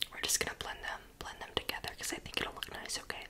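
The speaker whispers, soft-spoken and at a fairly quick pace. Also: woman. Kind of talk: ASMR roleplay talk to viewer. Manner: soft ASMR whisper, teasing. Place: home room. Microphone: phone near.

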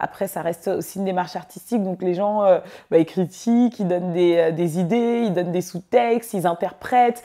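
In a quiet setting, a woman with a dark, mellow tone talks at a moderate pace with ordinary pitch variation. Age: 20s. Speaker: filmmaker. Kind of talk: interview monologue. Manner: hesitant, many fillers. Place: office. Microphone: lapel.

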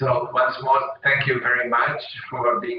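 Audible room echo surrounds a man who speaks with a Portuguese accent. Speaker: event host. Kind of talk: formal event introduction, bilingual. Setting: video call. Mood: warm, smiling. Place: office.

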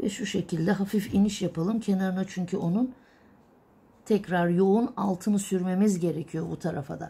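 A woman's voice has a dark, mellow tone and is somewhat breathy. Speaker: illumination artist teacher. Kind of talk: tutorial. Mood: calm, patient. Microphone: phone near.

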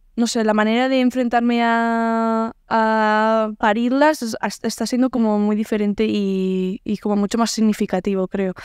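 A woman with a fairly high pitch speaks at a fairly slow pace in a flat, monotone way. The sound is dry with no echo against a quiet background. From Navarre, Spain (Pamplona). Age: 20s. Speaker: singer. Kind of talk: casual interview. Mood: reflective, calm. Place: home room. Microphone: studio mic.

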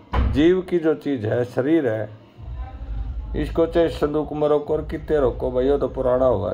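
A man at a fairly slow pace. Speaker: folk song commentator. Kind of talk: casual explanatory talk. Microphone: phone near.

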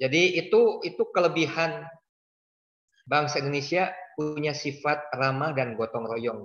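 A man speaks at a fairly slow pace with ordinary pitch variation. There's audible room echo over a quiet background. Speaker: donor; webinar guest. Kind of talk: casual interview. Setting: video call. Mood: warm, reflective. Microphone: video call.

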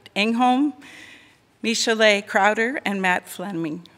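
A woman's bright, sharp voice at a fairly slow pace. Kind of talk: formal welcome address. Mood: warm, smiling. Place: church. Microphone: podium.

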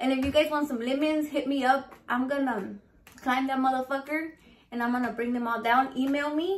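At a moderate pace, a woman talks with a high pitch and ordinary pitch variation. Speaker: cooking vlogger. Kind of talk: casual vlog chat. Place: kitchen. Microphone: phone near.

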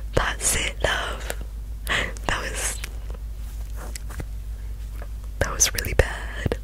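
Whispering with an amused tone, a woman speaks at a very slow pace with long, frequent pauses. The sound is dry with no echo, over light background noise. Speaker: storyteller. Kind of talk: fiction reading, soft ASMR-style narration. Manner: whispered, amused, slightly embarrassed. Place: home room. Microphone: studio mic.

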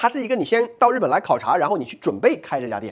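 A man talks at a very fast pace with very wide pitch swings and vocal fry. The background is quiet. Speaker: immigration consultancy owner and channel host; immigration consultant host. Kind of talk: explainer monologue. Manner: filler-heavy, conversational. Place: studio. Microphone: lapel.

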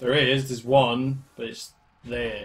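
A man speaks at a slow pace. There is little pitch movement.

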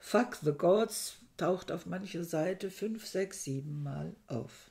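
A woman speaks very slowly in a dark, mellow tone, somewhat breathy, with ordinary pitch variation over a quiet background. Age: 60s. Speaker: book reviewer. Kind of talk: book review monologue. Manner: hesitant, with frequent fillers. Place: home room. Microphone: webcam.

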